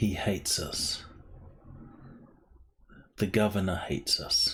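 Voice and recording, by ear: In a put-on character voice, a man whispers at a fairly slow pace.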